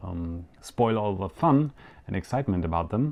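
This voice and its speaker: A man's fairly low-pitched voice with a German accent. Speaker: yo-yo show host. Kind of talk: live show monologue. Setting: home studio live stream. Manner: hesitant, many fillers.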